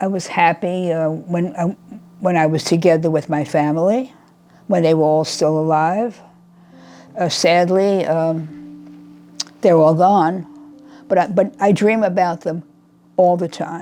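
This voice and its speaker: A woman's fairly low voice at a fairly slow pace, fairly even intonation, long and frequent pauses, music in the background. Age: 80s+. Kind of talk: interview answer. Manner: quiet, reflective.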